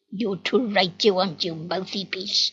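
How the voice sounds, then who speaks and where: Using a growling, put-on character voice, a woman talks at a moderate pace and medium pitch. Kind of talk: rough, threatening. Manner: snarling, menacing.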